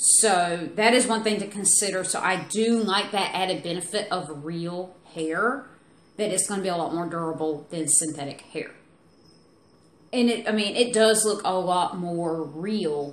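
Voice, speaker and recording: Audible room echo surrounds a woman with a Southern US accent. Her medium-pitched voice moves at a fairly slow pace with ordinary pitch variation. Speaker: beauty product reviewer. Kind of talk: product review. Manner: casual, chatty.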